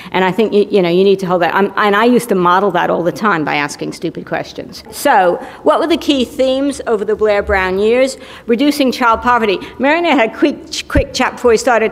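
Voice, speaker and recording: A woman speaks at a fairly quick pace with a fairly high pitch and lively intonation, in an American accent. Noticeable background noise runs behind her. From United States. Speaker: policy expert, keynote speaker. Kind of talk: keynote speech. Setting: conference stage with audience. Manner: conversational, some stammering.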